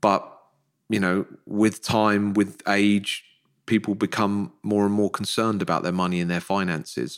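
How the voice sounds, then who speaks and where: With an English accent, a man talks at a moderate pace in a fairly low pitch and fairly even intonation. The recording is very clean, with a silent background. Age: 40s. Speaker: financial planner and podcaster. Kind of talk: podcast interview.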